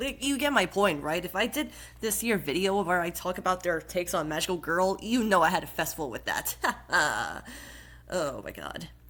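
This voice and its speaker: A woman speaks at a moderate pace with lively intonation. Noticeable background noise runs underneath. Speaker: YouTuber, podcast host. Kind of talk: casual talk to camera.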